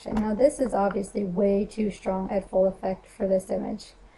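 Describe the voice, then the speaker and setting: A woman talks at a medium pitch with noticeable noise in the background. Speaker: photographer and Photoshop action seller. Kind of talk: software tutorial. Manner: casual, chatty.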